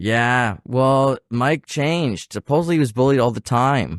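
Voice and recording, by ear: At a fairly slow pace, a man talks with lively intonation. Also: medium pitch for a man, dry, close sound with no echo.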